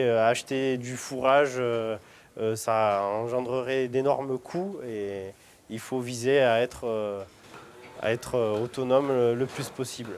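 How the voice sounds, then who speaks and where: At a fairly slow pace, a man speaks at a medium pitch with ordinary variation, recorded very cleanly against a silent background. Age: 30s. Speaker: cheese-making dairy farmer. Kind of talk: interview. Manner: halting, many hesitations.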